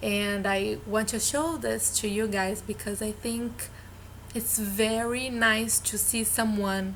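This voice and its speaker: A woman's fairly high voice in a Brazilian Portuguese accent, with fairly even intonation and audible room echo. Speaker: vlogger, former au pair. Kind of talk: casual vlog talk. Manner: halting, with filler sounds.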